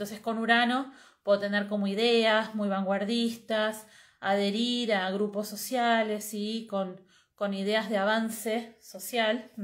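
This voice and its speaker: Against a quiet background, a woman speaks at a very slow pace with monotone, flat intonation. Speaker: astrologer and astrology teacher; astrology teacher. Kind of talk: live stream talk. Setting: live video stream. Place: home room. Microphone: earbuds.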